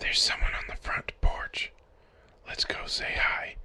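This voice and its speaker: Whispering in a raspy, put-on character voice, the speaker keeps a moderate pace. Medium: cartoon. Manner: calm, coaxing.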